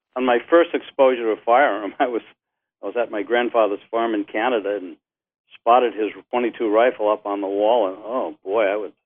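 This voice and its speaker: Medium in pitch, a man speaks at a moderate pace. He has a plain, everyday voice. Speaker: retired gun shop owner. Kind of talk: interview.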